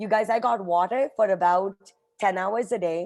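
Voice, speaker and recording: A woman's medium-pitched voice with an Indian accent, an animated tone and ordinary pitch variation. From India, Mumbai. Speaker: nonprofit executive. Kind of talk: motivational talk.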